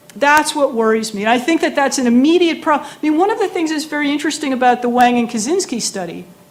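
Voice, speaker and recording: In a room with audible echo and noticeable background noise, a woman with an American accent speaks in a high pitch and an animated tone, with very wide pitch swings. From United States. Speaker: professor. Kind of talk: lecture. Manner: animated, conversational with many fillers.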